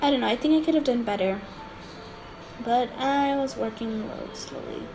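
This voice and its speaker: A woman's high voice carries audible room echo as she talks at a moderate pace with ordinary pitch variation. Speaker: digital art youtuber. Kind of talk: art tutorial voiceover. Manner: halting, many fillers.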